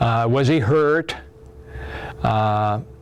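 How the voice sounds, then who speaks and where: With noticeable background noise, a man in an American accent speaks with ordinary pitch variation. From US Midwest, Iowa. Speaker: war veteran. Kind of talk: testimony.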